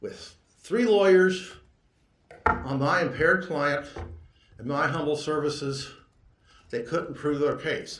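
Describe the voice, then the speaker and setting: A man's fairly high-pitched voice at a fairly slow pace, with ordinary pitch variation, long, frequent pauses and audible room echo. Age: 60s. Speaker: lawyer. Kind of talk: court argument. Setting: courtroom. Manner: halting.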